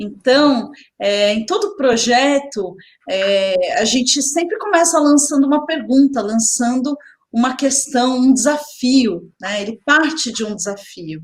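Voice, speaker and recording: A woman speaks at a very slow pace, with a high pitch. Her pitch swings very widely. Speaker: education specialist. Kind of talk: webinar presentation.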